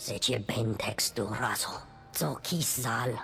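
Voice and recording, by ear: In a put-on character voice, a woman speaks slowly at an extremely low pitch with vocal fry, a fairly bright tone and ordinary pitch variation, as faint music plays in the background.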